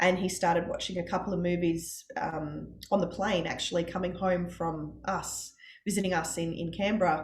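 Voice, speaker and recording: Noticeable background noise sits behind a woman with an Australian accent. Her fairly low voice has monotone, flat intonation. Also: moderate pace. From Australia, Brisbane. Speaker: parent of child with type 1 diabetes. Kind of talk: interview testimony.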